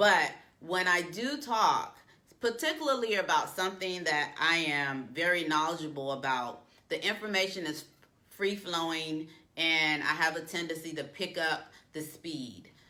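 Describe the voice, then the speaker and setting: A woman speaks at a fairly slow pace and fairly low pitch, with ordinary pitch variation. Her tone is bright and sharp, and audible room echo surrounds her. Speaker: career coach. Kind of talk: tutorial. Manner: uses filler um often.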